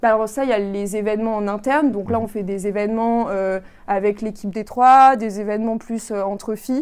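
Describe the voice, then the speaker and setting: A woman with an ordinary speaking voice, fairly high in pitch, fairly quick in pace, with fairly even intonation, in a very clean recording with a silent background. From France. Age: 20s. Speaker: engineering consultant and amateur triathlete. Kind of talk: interview.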